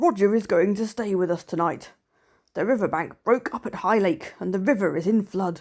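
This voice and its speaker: A raspy, female-sounding put-on character voice at a middle pitch speaks at a moderate pace. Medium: read story. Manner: calm, measured.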